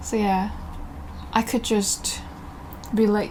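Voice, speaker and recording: A woman with a Korean accent speaks at a fairly high pitch. Noticeable background noise is present. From South Korea. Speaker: artist and fashion designer. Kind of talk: studio tour. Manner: slow.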